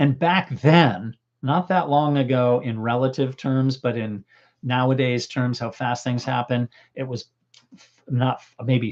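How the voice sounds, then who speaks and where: A man's medium-pitched voice, fairly slow in pace and fairly even in intonation. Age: 60s. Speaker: mountaineering filmmaker and channel host. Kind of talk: livestream chat with viewers. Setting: solo livestream. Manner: casual, halting with restarts.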